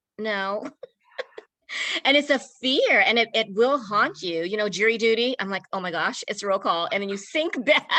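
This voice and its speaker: With lively intonation and a bright, sharp tone, a woman speaks at a fairly high pitch and a moderate pace. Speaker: podcast host. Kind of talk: interview.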